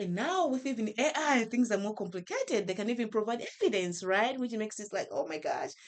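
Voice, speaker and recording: Speaking fairly quickly with a Malawian accent, a woman makes very wide pitch swings. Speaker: professor. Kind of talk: podcast interview.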